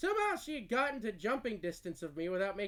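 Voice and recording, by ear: The words are read aloud in a natural voice.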